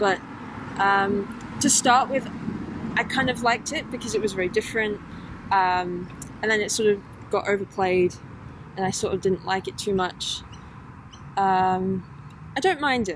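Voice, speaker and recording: A woman with an East Midlands accent talks at a moderate pace and medium pitch, with ordinary pitch variation. She leaves long, frequent pauses over noticeable background noise. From England, Lincolnshire (Boston). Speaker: women's football player. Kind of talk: interview. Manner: hesitant, lots of fillers.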